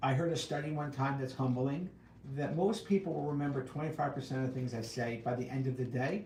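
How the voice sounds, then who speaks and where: A man talks at a fairly quick pace in a fairly high voice. Audible room echo surrounds him. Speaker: hearing instrument specialist. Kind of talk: casual Q&A livestream. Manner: loud and clear.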